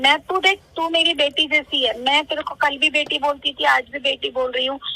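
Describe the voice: Bright and sharp in tone, a woman speaks at a high pitch with vocal fry. Her intonation is fairly even, and her pace is moderate.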